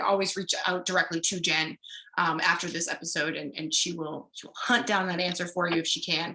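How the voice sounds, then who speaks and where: With an American accent, a woman is speaking. She keeps a fairly quick pace. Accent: Boston accent (comes out at times). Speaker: livestream host. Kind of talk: educational livestream Q&A.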